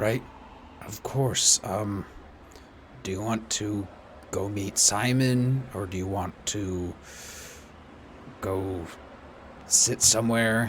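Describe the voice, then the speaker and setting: In a put-on character voice, a man speaks at a very slow pace and fairly low pitch, with fairly even intonation, long, frequent pauses and clear background noise. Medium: actual play. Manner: curt, short sentences.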